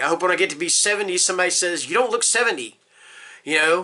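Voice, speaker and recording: The speaker is a man with an American accent. His pitch is high. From US South. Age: 50s. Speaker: book reviewer, security guard. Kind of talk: casual vlog monologue. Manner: hesitant, many fillers.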